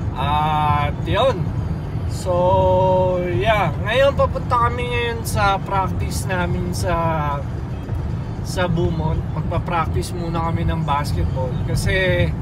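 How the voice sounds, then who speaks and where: Over music in the background, a man speaks at a very slow pace. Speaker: vlogger, basketball camp facilitator. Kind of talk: casual vlog chat. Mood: relaxed, calm. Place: car. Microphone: phone near.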